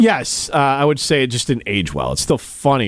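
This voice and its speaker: Speaking at a fairly quick pace, a man with a fairly low pitch shows vocal fry. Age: 40s. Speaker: radio host. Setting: studio. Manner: joking, bantering.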